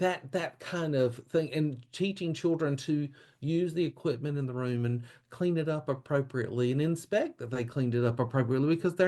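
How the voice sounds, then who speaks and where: Speaking at a moderate pace, a man with a Southern US accent has a fairly high pitch and ordinary pitch variation. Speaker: childcare expert and keynote speaker. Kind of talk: podcast interview.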